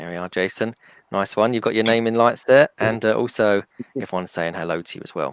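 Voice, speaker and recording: At a fairly quick pace, a man with an ordinary speaking voice talks at fairly low pitch with ordinary pitch variation and big swings in loudness, the sound dry and close with no echo. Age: 40s. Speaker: podcast host. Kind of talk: casual chat. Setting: video call.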